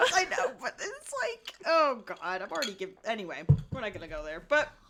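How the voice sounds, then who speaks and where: Against noticeable background noise, a woman speaks in a fairly high, animated voice at a fairly quick pace, with very wide pitch swings and big swings in loudness. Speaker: podcast co-host. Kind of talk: casual chat while drinking. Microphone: new mic without gain control; too quiet, far from mic.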